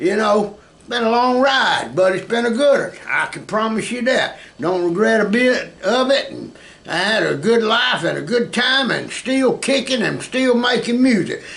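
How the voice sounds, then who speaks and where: A man with a Southern US accent speaks at an extremely high pitch and moderate pace with ordinary pitch variation, through noticeable background noise and audible room echo. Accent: Southern US (Georgia). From US South, South Georgia. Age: 60s. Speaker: music teacher and musician. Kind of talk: casual chat.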